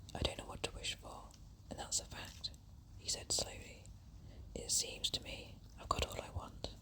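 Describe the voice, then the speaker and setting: Whispering with long, frequent pauses, a woman is heard over noticeable background noise. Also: moderate pace. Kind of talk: whispered story reading. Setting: outdoors while walking in woods. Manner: whispered, soft, relaxing.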